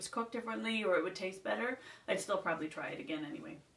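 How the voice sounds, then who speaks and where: There is noticeable background noise. Over it, a woman speaks at a very fast pace. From Nova Scotia, Canada. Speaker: beauty vlogger. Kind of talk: casual chat.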